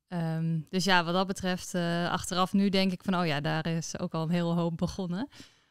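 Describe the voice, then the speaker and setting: In a dry recording with no echo and a quiet background, a woman with a fairly low voice speaks at a moderate pace in a flat monotone, hardly pausing at all. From Netherlands, Friesland (Noordwolde); Friesland. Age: 30s. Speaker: entrepreneur; guest. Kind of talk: interview. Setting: at her business premises. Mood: warm, relaxed. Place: office. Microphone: studio mic.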